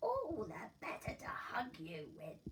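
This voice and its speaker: A woman performs a put-on character voice. She talks at a fairly slow pace. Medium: read story. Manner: sly, sweetly menacing.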